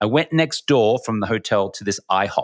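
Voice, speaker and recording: Animated in tone, a man's voice moves through very wide pitch swings. The sound is dry and close with no echo, in a very clean recording with a silent background. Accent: Australian. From Australia. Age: 40s. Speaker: former sports TV anchor, entrepreneur. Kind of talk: podcast interview storytelling.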